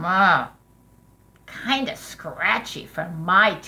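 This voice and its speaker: A woman's put-on character voice, medium in pitch and very slow. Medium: read story. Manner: friendly, casual.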